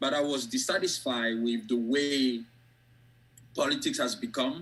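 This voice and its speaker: A man with a strong French West African accent speaks at a moderate pace with fairly even intonation. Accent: thick French West African. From Côte d'Ivoire. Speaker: academic and author. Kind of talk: interview. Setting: video call.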